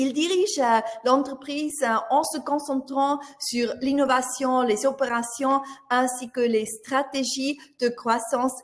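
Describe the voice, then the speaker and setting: Talking at a very slow pace, a woman with a high pitch speaks with a slight Swiss German accent. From Switzerland (Swiss German). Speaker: business journalist moderating a webinar. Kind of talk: webinar moderation and speaker introductions. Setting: online webinar. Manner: hesitant, many filler sounds.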